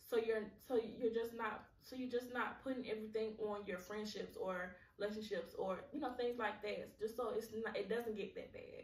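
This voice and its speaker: A woman's fairly high voice carries audible room echo. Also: fairly even intonation, moderate pace. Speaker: podcast host. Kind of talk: solo podcast monologue. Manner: halting, repeats words; casual, conversational.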